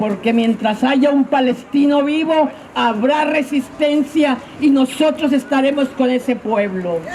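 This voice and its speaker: Over noticeable background noise, a woman speaks at a high pitch and a fairly slow pace, with ordinary pitch variation. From Mexico. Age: 70s. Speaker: rally speaker, activist. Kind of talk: protest speech. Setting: outdoor street rally. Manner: impassioned.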